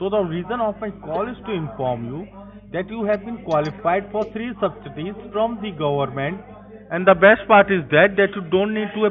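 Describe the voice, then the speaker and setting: With light background noise, a man speaks at a moderate pace in a high pitch, his pitch varying in an ordinary way. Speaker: phone scammer. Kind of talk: sales pitch. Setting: phone call. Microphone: phone line.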